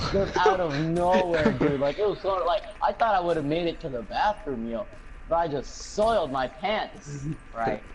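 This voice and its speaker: There is noticeable background noise behind this man. His voice is high-pitched, with lively intonation. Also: moderate pace. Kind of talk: casual chat. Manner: halting.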